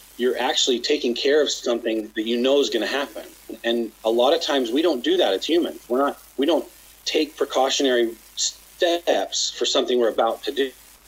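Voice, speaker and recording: A man's fairly quick speech in a Western US accent, with very even loudness. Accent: American, western US. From Utah, near Salt Lake City. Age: 50s. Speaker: chiropractor and company founder. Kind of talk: casual interview.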